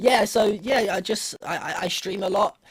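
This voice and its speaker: Recorded very cleanly against a silent background, a man with a British accent speaks in a somewhat breathy voice. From UK. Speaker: streamer and esports commentator. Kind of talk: casual interview on esports broadcast.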